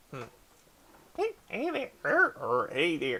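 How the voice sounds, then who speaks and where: A put-on character voice at a fairly slow pace. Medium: actual play. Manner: cheerful, cutesy, giggly.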